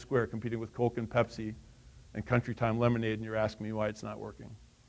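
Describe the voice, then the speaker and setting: Speaking with an American accent, a man talks very fast. His pitch sits in the medium range. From Wisconsin. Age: 60s. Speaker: author and workforce speaker. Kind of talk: keynote talk. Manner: animated.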